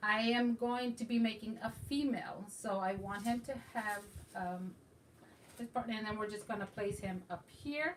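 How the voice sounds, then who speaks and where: Somewhat breathy, a woman speaks at a fairly high pitch and moderate pace, with ordinary pitch variation. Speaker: craft YouTuber. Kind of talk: craft tutorial. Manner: casual, hesitant with fillers.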